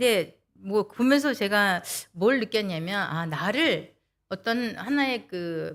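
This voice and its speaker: Heard on a very clean recording with a silent background, a woman has a plain, everyday voice at a medium pitch with lively intonation. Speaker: lay speaker giving a sermon talk, interpreter by trade. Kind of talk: sermon.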